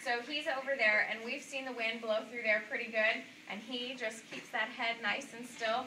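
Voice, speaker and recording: A woman at a fairly high pitch with ordinary pitch variation, plus audible room echo and noticeable background noise. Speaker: zoo animal presenter. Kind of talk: live animal demonstration talk. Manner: loud. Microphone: no mic or handheld mic, no clip.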